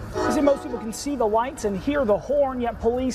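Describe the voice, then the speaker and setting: Over background music, a man with an American accent speaks at an extremely high pitch with lively intonation. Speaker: news anchor. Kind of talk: TV news anchoring.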